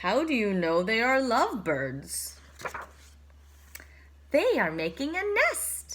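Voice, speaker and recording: Using a put-on character voice at a medium pitch, a woman speaks at a fairly slow pace with long, frequent pauses over clear background noise. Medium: read story. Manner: bright, cheerful.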